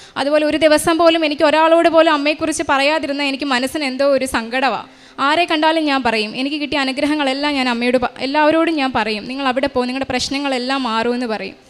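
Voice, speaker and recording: Noticeable background noise surrounds a woman speaking. Her voice is high, with fairly even intonation. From Kerala, Kollam district. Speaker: radiographer giving a church testimony. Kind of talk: testimony. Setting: church altar.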